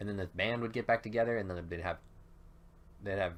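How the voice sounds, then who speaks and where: Intonation holds fairly even. A man is speaking. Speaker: gaming YouTuber. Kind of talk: let's play commentary. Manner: loud; casual, hesitant fillers.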